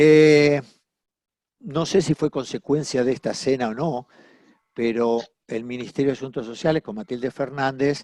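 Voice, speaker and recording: A man speaks with an Argentine accent at medium pitch, at a fairly slow pace with long, frequent pauses and fairly even intonation. The sound is dry and close with no echo, against a quiet background. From Argentina. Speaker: family mediator. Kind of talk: interview. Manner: halting.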